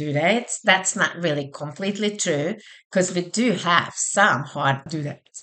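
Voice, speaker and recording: Her pace is neither fast nor slow. The woman speaks with a non-native accent. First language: not English. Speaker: college instructor. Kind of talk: online course walkthrough. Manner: casual conversational.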